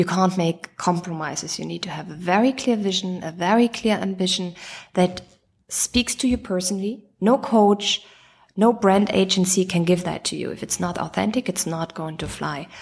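On a very clean recording with a silent background, a woman with a German accent speaks at a moderate pace in a medium pitch, somewhat breathy, with ordinary pitch variation. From Germany. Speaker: chief operating officer. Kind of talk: interview.

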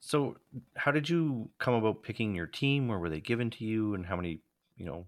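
A man with a Canadian accent talks at a fairly quick pace in a normal speaking voice, fairly low in pitch, with lively intonation. The recording is very clean, with a silent background. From Alberta, Canada. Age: 40s. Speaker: podcast co-host. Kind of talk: casual chat.

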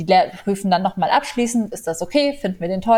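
This woman talks very fast at a medium pitch. Her pitch varies in an ordinary way. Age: 20s. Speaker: animal welfare volunteer. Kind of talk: interview.

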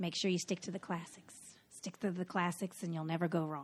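A woman with a Southern US accent speaks at a fairly low pitch in a bright, sharp tone, on a very clean recording with a silent background. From North Carolina. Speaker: podcast host, costume designer. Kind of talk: casual chat, podcast intro.

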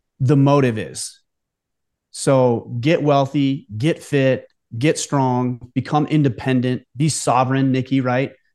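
This man has a plain, everyday voice, a medium pitch and a fairly slow pace. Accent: American. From United States. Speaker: podcast host. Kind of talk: casual chat.

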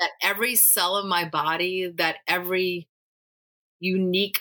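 This woman's medium-pitched voice has a bright, sharp tone. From Louisiana, Cajun country. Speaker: spiritual director and youth minister. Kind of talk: casual interview.

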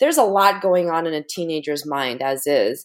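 In an American accent, a woman speaks with ordinary pitch variation. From United States, Korean American family. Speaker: mindset and motivation coach, taekwondo master. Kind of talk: interview conversation.

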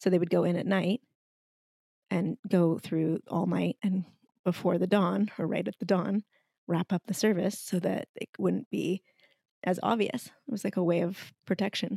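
A woman's dark, mellow tone carries vocal fry, heard dry and close with no echo. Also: medium pitch for a woman, ordinary pitch variation, moderate pace. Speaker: podcast co-host. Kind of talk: casual chat. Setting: at home by a fireplace.

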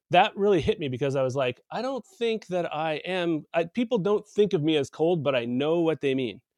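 At a moderate pace, a man with a plain, everyday voice and a fairly high pitch uses lively intonation in a dry, close sound with no echo. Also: hardly any pauses. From US South (Texas, Tennessee, Arkansas), then Canada from grade six. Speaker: podcast host. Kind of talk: casual interview chat.

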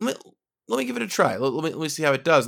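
Vocal fry runs through a very clean recording with a silent background. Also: man. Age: 30s. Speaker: game designer. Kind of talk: casual chat.

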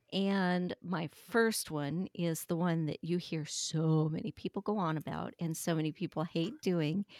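A plain, everyday voice from a woman, fairly low in pitch, with fairly even intonation at a fairly slow pace, in a dry, close sound with no echo. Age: 60s. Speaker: fiber craft technical editor. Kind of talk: casual chat.

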